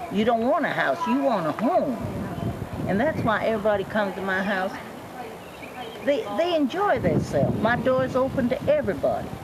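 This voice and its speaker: Speaking fairly quickly with an American accent, the voice swings very widely in pitch and leaves long, frequent pauses over noticeable background noise. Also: woman, fairly high pitch for a woman. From Georgia, US. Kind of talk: interview answer. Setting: outdoors.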